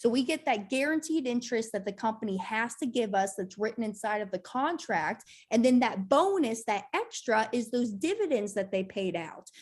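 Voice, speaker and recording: A woman speaks with lively intonation and a fairly high pitch, leaving hardly any pauses. Her voice is somewhat breathy on a very clean recording with a silent background. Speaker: financial educator. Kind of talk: Q&A session. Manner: fast; halting, repeats words.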